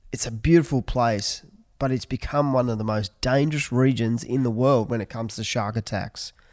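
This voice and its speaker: This man talks at a moderate pace and medium pitch with an Australian accent. The recording is very clean, with a silent background. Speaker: podcast host, surf event organizer. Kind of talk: casual interview. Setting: in person, Sydney.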